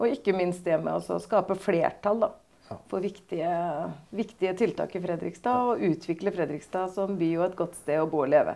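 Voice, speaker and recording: Her voice is fairly low for a woman, with a dark, mellow tone, vocal fry, ordinary pitch variation and a moderate pace. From Norway, Østfold (Torsnes); Norway. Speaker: mayor. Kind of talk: political interview. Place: office.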